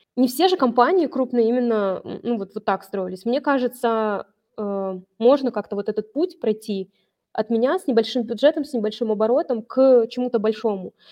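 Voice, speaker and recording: In a normal speaking voice, the speaker talks at a moderate pace with ordinary pitch variation. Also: woman, fairly high pitch for a woman. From Vologda, northern Russia. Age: 30s. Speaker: online seller and brand owner. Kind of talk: business case review interview.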